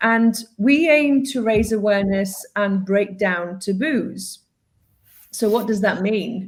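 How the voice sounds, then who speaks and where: A woman speaks very slowly in a fairly high, somewhat breathy voice with ordinary pitch variation. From UK and Greece. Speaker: DEI consultant and webinar host. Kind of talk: live webinar presentation. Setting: online livestream.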